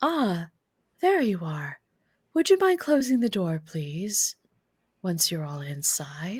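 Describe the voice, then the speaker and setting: A woman's put-on character voice at a medium pitch and fairly slow pace, with long, frequent pauses, in a very clean recording with a silent background. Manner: polite, welcoming.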